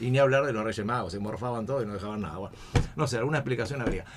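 A man's voice with a Rioplatense accent. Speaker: radio host. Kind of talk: casual chat. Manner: animated.

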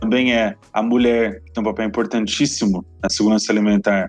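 A man's normal speaking voice, fairly low in pitch and fairly quick, with ordinary pitch variation. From Brazil, Paraná (Londrina). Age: 20s. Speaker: municipal government official. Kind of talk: interview.

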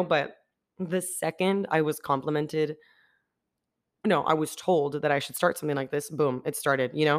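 A woman's very deep, low pitch in an animated tone, at a fairly quick pace with ordinary pitch variation. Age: 20s. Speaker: podcaster. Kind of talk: casual solo podcast monologue. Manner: animated, talkative, chatty.

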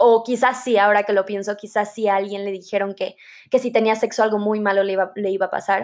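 This woman talks at a very fast pace, her pitch medium and her intonation fairly even. The recording is very clean, with a silent background. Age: 20s. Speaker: podcast host, psychology student. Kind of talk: casual solo podcast monologue.

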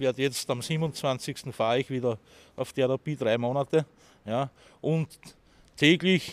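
Dry and close with no echo, a man's medium-pitched voice in an Austrian accent shows ordinary pitch variation. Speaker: homeless city tour guide. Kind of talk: guided walking tour talk.

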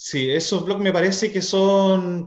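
A man with a Chilean accent speaks at a very slow pace. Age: 30s. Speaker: teacher. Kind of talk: casual chat.

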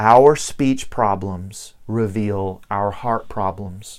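At a very slow pace, a man with a Southern US accent speaks at a fairly low pitch in a very clean recording with a silent background. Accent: Southern US, noticeable. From US South (Virginia, Tennessee). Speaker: pastor. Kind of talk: sermon. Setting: church.

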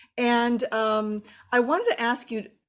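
On a very clean recording with a silent background, a woman with a plain, everyday voice speaks at a fairly high pitch with ordinary pitch variation. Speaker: film podcast host. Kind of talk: interview.

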